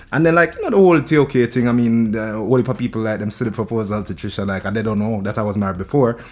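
A man speaks very fast with a Jamaican accent, with hardly any pauses. His pitch is medium, with ordinary variation. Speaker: reggae and dancehall singer. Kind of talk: casual chat.

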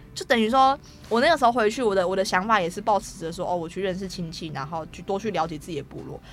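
A woman speaks at a very fast pace with lively intonation. Her pitch sits in the medium range. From Taiwan, Taoyuan (Daxi). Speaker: film student, Atayal. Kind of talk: interview.

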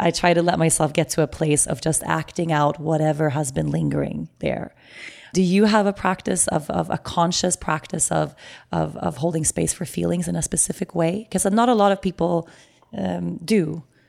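Putting on a character voice, a woman speaks in a raspy, very deep, low pitch at a moderate pace.

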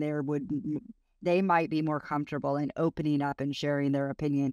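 A woman with an American accent talks at a very fast pace in a very deep, low pitch, the sound dry and close with no echo. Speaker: tech executive. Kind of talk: interview. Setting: hotel room, remote call.

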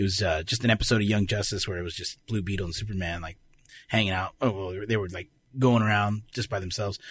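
Speaking at a very fast pace with an American accent, a man sounds somewhat breathy and fairly low in pitch on a very clean recording with a silent background. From Arizona. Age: 30s. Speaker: voice actor and comedian. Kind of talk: casual chat. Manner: animated.

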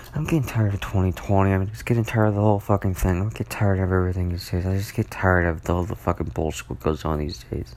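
A soft-spoken man's very deep, low voice at a very fast pace with lively intonation. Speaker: solo podcaster. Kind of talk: casual monologue. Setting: at home at night, others sleeping. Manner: soft-spoken, talking quietly; rambling with many fillers.

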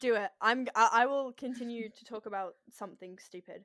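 An animated woman at a fairly high pitch on a very clean recording with a silent background. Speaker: podcast co-host. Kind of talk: casual chat. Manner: reading from notes at times.

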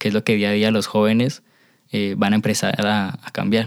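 A man talks in a fairly low voice with monotone, flat intonation. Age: young. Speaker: podcast host and dancer. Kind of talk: interview.

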